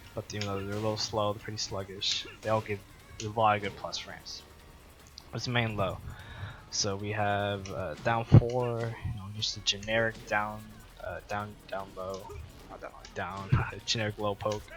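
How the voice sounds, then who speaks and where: With monotone, flat intonation and a fairly low pitch, a man speaks at a moderate pace, his loudness swinging widely between long, frequent pauses. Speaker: fighting game guide maker. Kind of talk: gameplay tutorial commentary. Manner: halting, stuttering.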